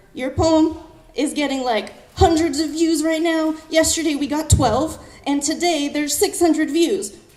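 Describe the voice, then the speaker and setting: Audible room echo mixed with noticeable background noise. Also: woman, extremely high pitch for a woman, ordinary pitch variation. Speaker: poet. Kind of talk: storytelling talk on stage. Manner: fast; animated.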